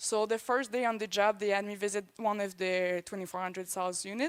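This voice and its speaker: A woman speaks at medium pitch with a Quebec accent. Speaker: swine production consultant. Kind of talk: conference presentation.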